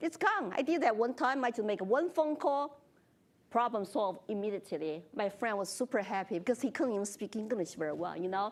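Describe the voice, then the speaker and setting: A woman with a Chinese accent talks at a fairly quick pace. Her pitch swings very widely. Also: fairly high pitch for a woman. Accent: Chinese accent, noticeable. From China. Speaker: congressional candidate. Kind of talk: moderated forum discussion.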